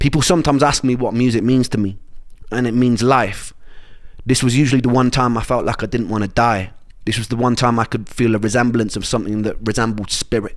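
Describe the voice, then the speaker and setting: A man with a Welsh accent, medium pitch, fairly even intonation and a very fast pace. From Wales. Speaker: musician telling his illness story. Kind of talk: personal narration.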